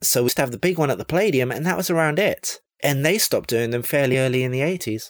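Speaking at a very fast pace with a London accent, a man uses a fairly high pitch and lively intonation. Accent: southern English (London). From England, central London. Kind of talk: pre-recorded listener segment, casual reminiscence. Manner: halting, with filler pauses.

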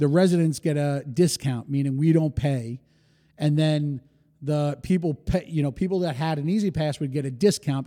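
A man talks in a New York accent at a fairly quick pace. His tone is dark and mellow. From New York City, Rockaway, Queens. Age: 40s. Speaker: hospitality entrepreneur. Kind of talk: casual interview.

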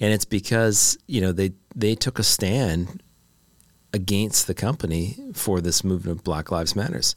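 In a Canadian accent, a plain, everyday voice moves with ordinary pitch variation over a very clean recording with a silent background. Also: man. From Canada. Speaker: product executive and brand builder. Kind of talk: casual interview conversation. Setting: studio.

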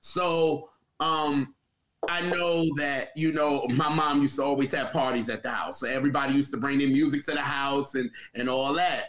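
A man's unremarkable speaking voice, fairly high in pitch, with fairly even intonation and a moderate pace. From New York, then South Carolina. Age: 30s. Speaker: music podcaster. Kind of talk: casual chat.

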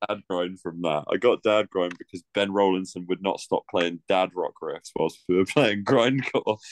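In a dry, close recording with no echo, a man with an unremarkable speaking voice talks at a moderate pace, his fairly low pitch moving with ordinary variation. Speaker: co-host and musician. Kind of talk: casual chat.

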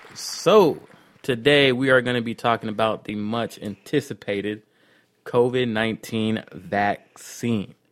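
A man with an ordinary speaking voice, medium in pitch, fairly slow, and fairly even in intonation. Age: 30s. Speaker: podcast co-host. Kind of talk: casual chat.

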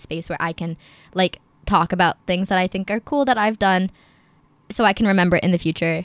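A woman with an American accent talks at a very fast pace and medium pitch with fairly even intonation, in a dry, close sound with no echo and a very clean recording with a silent background. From New Jersey. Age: young. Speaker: university student. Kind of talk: casual chat.

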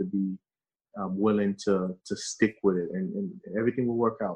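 A man talking at a fairly quick pace in monotone, flat intonation. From Haiti, raised in Brooklyn, New York. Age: 30s. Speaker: author and epidemiologist. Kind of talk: interview. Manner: halting, many fillers.

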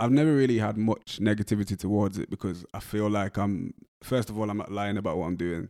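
In a West Midlands accent, a man talks very fast at a fairly low pitch with a dark, mellow tone, the sound dry and close with no echo on a very clean recording with a silent background. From West Midlands, England. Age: 20s. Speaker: rapper and music producer. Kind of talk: casual interview. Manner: monotone.

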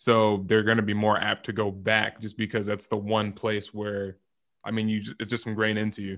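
A man's fairly low pitch and fairly quick pace in an American accent, with monotone, flat intonation over a quiet background. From Southern California, Rancho Cucamonga. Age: 20s. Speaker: performance psychology trainer. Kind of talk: casual interview.

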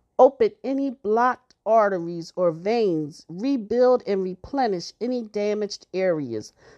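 With a plain, everyday voice, a woman speaks at a fairly slow pace with fairly high pitch and lively intonation, in a dry, close sound with no echo over a quiet background. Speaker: prayer podcaster. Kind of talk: fervent healing prayer, spoken as an earnest plea to God. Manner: earnest, pleading, devout, intense; slow, reverent, measured.

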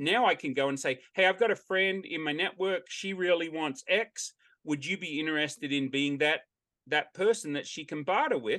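Here a man with an Australian accent has a fairly high pitch and a bright, sharp tone, using ordinary pitch variation. He keeps a moderate pace against a quiet background. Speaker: barter exchange owner. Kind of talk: interview.

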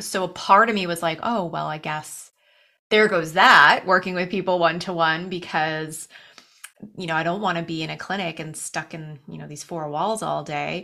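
A woman with a Canadian accent and a fairly low pitch has a bright, sharp tone, fairly even intonation and big swings in loudness on a very clean recording with a silent background. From Canada (Toronto, Ontario). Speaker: nutrition and wellness coach. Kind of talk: interview.

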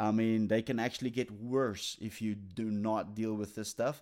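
A man speaks at a moderate pace in a medium pitch. The recording is very clean, with a silent background. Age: 40s. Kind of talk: devotional talk. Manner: halting, many fillers and restarts; casual, conversational.

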